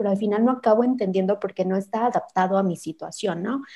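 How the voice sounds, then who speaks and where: A woman's voice with ordinary pitch variation. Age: 30s. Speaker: podcast host. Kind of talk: interview.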